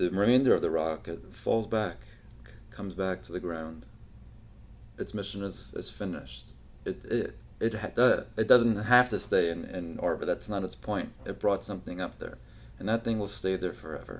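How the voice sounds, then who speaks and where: A man speaks at a fairly low pitch. Vocal fry runs through his voice. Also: lively intonation, moderate pace. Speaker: podcast host. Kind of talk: solo podcast monologue. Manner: halting, stuttering.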